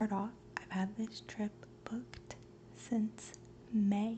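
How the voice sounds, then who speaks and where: A soft-spoken woman in a relaxed tone at a fairly slow pace, with noticeable background noise. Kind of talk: ASMR show-and-tell haul, soft spoken talk to camera. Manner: soft-spoken, relaxed.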